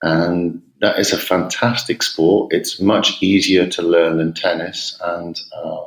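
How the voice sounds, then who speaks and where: The speech goes at a very slow pace, with hardly any pauses. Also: man. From England. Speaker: tennis coach. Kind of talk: podcast interview. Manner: hesitant, many fillers and repetitions.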